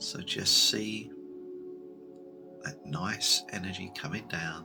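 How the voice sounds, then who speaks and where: Soft-spoken and gentle in tone, a man with a very deep, low voice talks over music in the background. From United Kingdom. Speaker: Reiki master, guided meditation leader. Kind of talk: guided meditation, ASMR Reiki cord cutting. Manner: soft-spoken, gentle, slow.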